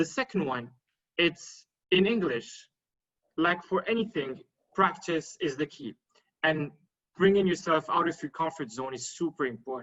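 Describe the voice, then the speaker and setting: Using lively intonation, a man with a French accent speaks with long, frequent pauses. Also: fairly high pitch for a man, moderate pace. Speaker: panelist on networking. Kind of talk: panel discussion. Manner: halting, many fillers.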